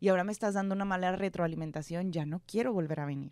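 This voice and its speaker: Speaking at a very fast pace with ordinary pitch variation, a woman is heard on a very clean recording with a silent background. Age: 20s. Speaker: news producer and presenter. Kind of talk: casual interview. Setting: studio.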